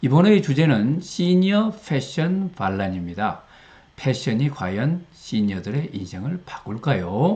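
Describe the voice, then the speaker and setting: A man talks at a very slow pace, his fairly high voice somewhat breathy and dark, mellow in tone, with very wide pitch swings. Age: 60s. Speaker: retired professor, learning center director. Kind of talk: casual talk to camera.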